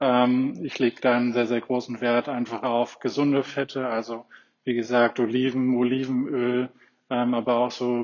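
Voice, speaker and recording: In a flat, monotone delivery, a man with a medium pitch speaks at a fairly slow pace. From Berlin, Germany. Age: 30s. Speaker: physiotherapist and runner. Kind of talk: interview.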